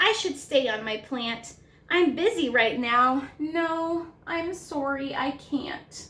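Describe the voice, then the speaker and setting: Putting on a character voice, a woman speaks at a very slow pace and a high pitch. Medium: read story. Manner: hesitant, nervous.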